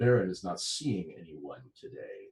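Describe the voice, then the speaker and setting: Putting on a growling character voice, a man speaks at medium pitch and a moderate pace. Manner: dangerous growl.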